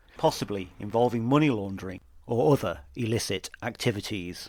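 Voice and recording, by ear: Fairly low in pitch, a man talks at a fairly quick pace with lively intonation and a slightly mellow tone.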